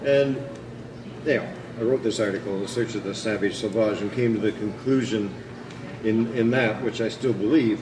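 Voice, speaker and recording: A man mumbles at a moderate pace and medium pitch with fairly even intonation and long, frequent pauses, amid noticeable background noise and audible room echo. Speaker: historian lecturer. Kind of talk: lecture. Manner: mumbling; halting, many fillers.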